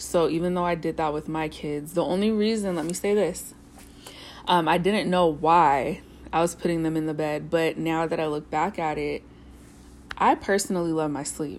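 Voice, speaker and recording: At a moderate pace, a woman speaks in a normal speaking voice with fairly low pitch and fairly even intonation. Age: 30s. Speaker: single mother vlogger. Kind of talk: casual monologue. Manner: unscripted, thinking aloud with fillers.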